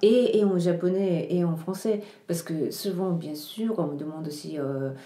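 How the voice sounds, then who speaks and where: Fairly slow speech with ordinary pitch variation is heard through noticeable background noise and audible room echo. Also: woman, fairly low pitch for a woman. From Japan (Tokyo). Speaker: writer and translator. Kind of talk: interview. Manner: halting, many hesitations.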